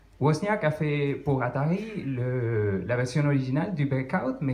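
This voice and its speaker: At a very slow pace, a man speaks with a fairly high pitch, a somewhat breathy sound and lively intonation. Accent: strong non-native. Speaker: conference speaker on retro computing. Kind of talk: technical talk to audience. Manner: halting, many hesitations.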